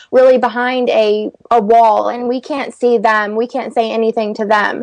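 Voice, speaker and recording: With an ordinary speaking voice, this woman talks at a fairly high pitch, her intonation fairly even. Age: 20s. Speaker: beauty vlogger. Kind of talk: interview. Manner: casual, fast-flowing.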